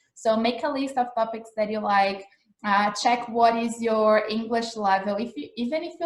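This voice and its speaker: The speaker has a Portuguese accent and ordinary pitch variation. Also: woman. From Brazil. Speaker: English teacher. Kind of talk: live-streamed lesson. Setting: Instagram livestream. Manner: casual, filler-heavy.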